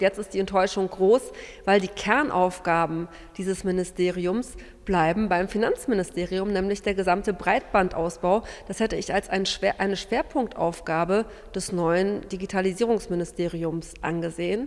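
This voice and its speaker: Her intonation fairly even, a woman speaks at a medium pitch and a moderate pace. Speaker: opposition politician. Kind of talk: press statement. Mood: disappointed, critical. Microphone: handheld.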